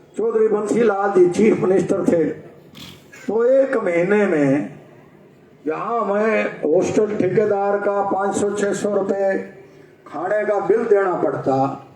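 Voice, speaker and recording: The man's pitch is high, with ordinary pitch variation. Noticeable background noise and audible room echo fill the recording. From Haryana, Rohtak. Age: 70s. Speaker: political speaker. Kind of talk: public speech.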